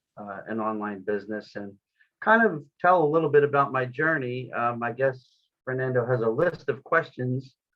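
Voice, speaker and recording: With an American accent, a man speaks in a plain, everyday voice at medium pitch, moving at a moderate pace with ordinary pitch variation. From US, Florida. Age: 50s. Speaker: online business owner. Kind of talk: interview.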